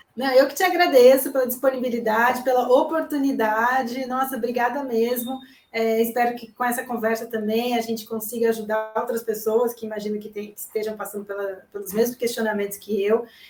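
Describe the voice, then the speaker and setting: At a fairly quick pace and with hardly any pauses, a woman in an unremarkable speaking voice talks with fairly high pitch, fairly even intonation, and big swings in loudness. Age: 30s. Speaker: journalist. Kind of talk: live consultation chat.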